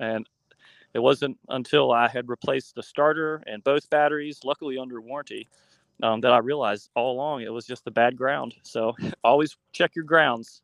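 A man with an American accent and an ordinary speaking voice, medium in pitch, at a moderate pace with fairly even intonation and big swings in loudness, in a dry, close sound with no echo against a quiet background. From West Virginia. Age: 30s. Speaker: author and bus conversion builder. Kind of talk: interview.

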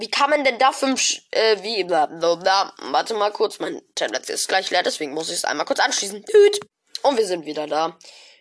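A woman's animated voice at medium pitch, with very wide pitch swings. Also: moderate pace. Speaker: gaming podcast host. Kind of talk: casual commentary reading out app reviews.

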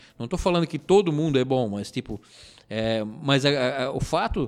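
A man's intonation is lively. He keeps to a moderate pace. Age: 30s. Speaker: rock bassist. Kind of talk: interview. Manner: halting.

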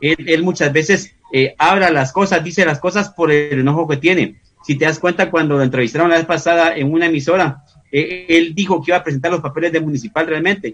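A fairly high-pitched man at a fairly quick pace, his loudness very even, with music in the background. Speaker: football pundit. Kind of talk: casual chat.

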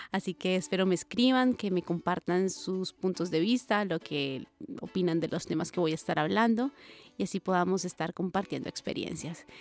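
A woman speaks at a medium pitch and a moderate pace with ordinary pitch variation. The recording is very clean and dry, close with no echo, and the background is silent. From Colombia. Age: 30s. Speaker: singer and podcast host. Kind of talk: casual monologue. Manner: animated.

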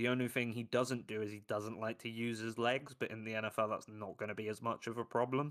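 Speaking in a London accent, a man rushes along at a very fast pace with hardly any pauses, in a monotone, flat intonation. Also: medium pitch for a man. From London, England. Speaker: football analyst. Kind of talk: casual chat.

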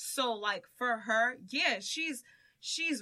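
The tone is bright and sharp. The intonation is lively. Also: woman. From Dominican heritage, US Northeast. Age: 20s. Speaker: podcaster. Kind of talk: casual chat.

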